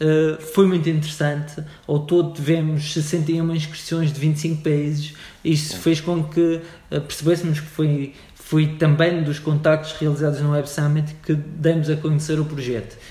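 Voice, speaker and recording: Over noticeable background noise and audible room echo, a man speaks at a fairly high pitch. His delivery is fairly slow and his intonation monotone and flat. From Madeira, Portugal. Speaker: startup organization CEO. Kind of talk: interview. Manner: halting, many fillers.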